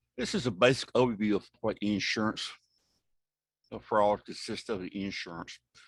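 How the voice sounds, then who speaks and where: An ordinary speaking voice with ordinary pitch variation and a moderate pace. The sound is dry and close with no echo, over a quiet background. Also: man. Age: 60s. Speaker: insurance fraud investigator. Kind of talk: presentation. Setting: video call.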